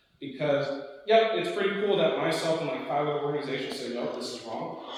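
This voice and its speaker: Against noticeable background noise and audible room echo, a man speaks at a fairly quick pace with an American accent and ordinary pitch variation. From Oklahoma. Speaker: war veteran, workshop presenter. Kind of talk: presentation. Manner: fast; loud.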